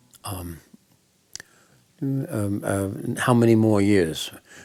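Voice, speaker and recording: There is music in the background. Over it, a man talks at a fairly low pitch. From Manchester, England. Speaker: blues musician and bandleader. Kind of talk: interview answer. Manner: reflective, funny.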